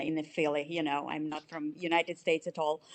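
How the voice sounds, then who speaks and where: This woman speaks with a Russian accent. Her pitch is fairly low. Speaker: chief financial officer. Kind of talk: interview. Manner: halting.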